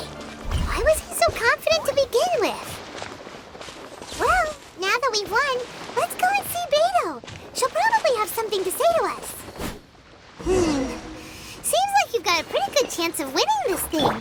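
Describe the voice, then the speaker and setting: Over loud background noise, a put-on character voice pitched extremely high speaks at a moderate pace. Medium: machinima. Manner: casual, dry.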